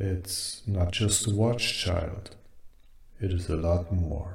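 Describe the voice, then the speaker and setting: A soft-spoken man's put-on character voice, very deep and low, at a very slow pace. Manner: soft, wind-like, speaking gently.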